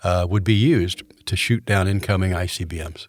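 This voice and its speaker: A man's somewhat breathy, fairly low voice with an American accent, captured on a very clean recording over a silent background. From Florida (Orlando). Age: 70s. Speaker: college president. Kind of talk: interview.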